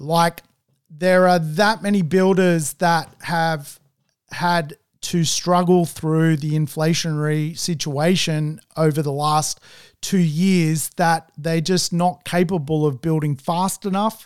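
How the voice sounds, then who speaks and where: A man with an Australian accent speaks very slowly in a high pitch. His intonation stays fairly even on a very clean recording with a silent background. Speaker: property investment podcast host. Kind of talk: solo podcast monologue. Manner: slow, listeners advised to speed up.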